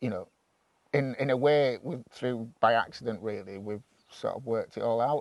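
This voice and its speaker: In an ordinary speaking voice, a man talks at a moderate pace and medium pitch with ordinary pitch variation, the sound dry and close with no echo. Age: 50s. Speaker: farmer. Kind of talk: interview.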